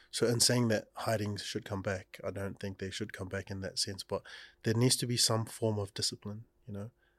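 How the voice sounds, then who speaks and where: On a very clean recording with a silent background, a man speaks at a fairly quick pace in a fairly low voice. His intonation is monotone and flat, and his voice is somewhat breathy. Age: 20s. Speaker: musician and radio producer. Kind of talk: casual chat.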